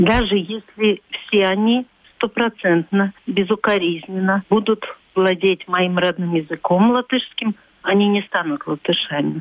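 At a fairly slow pace, a woman speaks with a medium pitch and ordinary pitch variation. Her loudness stays very even. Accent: Latvian. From Latvia. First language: Latvian (speaking Russian). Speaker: civic activist. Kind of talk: radio interview.

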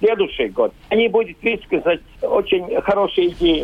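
This man talks at a fairly slow pace. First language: Latvian (speaking Russian). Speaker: school principal. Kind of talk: recorded interview. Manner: halting, non-native phrasing.

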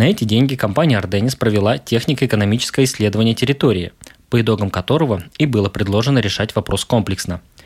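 Fairly quick and fairly low-pitched, a man speaks in a plain, everyday voice. The recording is very clean with a silent background. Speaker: radio host. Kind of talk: radio program presenter narration.

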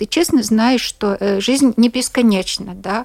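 A woman talks at a very slow pace with fairly even intonation. The sound is dry and close, with no echo. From Latvia, Latgale. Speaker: journalist. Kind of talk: radio interview. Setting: studio. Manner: halting, with many repetitions.

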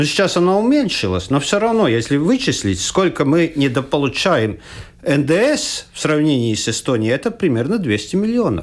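A man with a fairly high pitch talks at a moderate pace, his pitch making very wide swings. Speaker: economist, former finance minister. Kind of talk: radio panel discussion. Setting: radio studio. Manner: halting.

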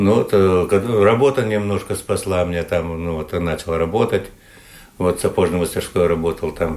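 Very deep, low pitch from a man, fairly slow in pace and fairly even in intonation. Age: 60s. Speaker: retired sailor and shoemaker. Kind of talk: interview. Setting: at home. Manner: halting.

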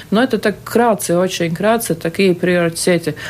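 Her pitch is medium, and the woman varies it in an ordinary way. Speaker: state auditor general. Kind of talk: live radio interview. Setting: radio studio. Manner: hesitant, many fillers.

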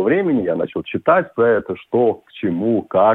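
A man is speaking here. His pace is fairly slow. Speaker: yachtsman and businessman. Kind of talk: radio interview.

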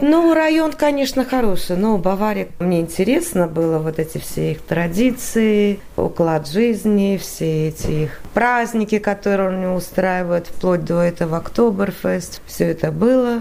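Speaking fairly slowly with hardly any pauses, a woman uses an unremarkable speaking voice at medium pitch with lively intonation. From Latvia, Riga. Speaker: emigrant interviewee. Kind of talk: radio interview.

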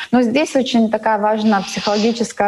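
Noticeable background noise sits behind a woman speaking at a fairly quick pace. Her pitch is fairly high. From Latvia, Daugavpils. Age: 30s. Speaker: cosmetologist and beauty salon owner. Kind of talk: interview. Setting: video call.

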